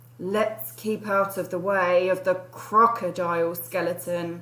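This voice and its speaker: Over light background noise, a woman puts on a character voice at a fairly slow pace. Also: medium pitch for a woman. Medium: read story.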